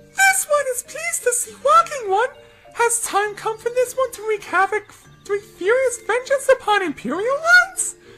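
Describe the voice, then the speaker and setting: A put-on character voice, squeaky and extremely high in pitch, at a moderate pace with clear music in the background. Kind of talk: speaks in third person, 'this one'.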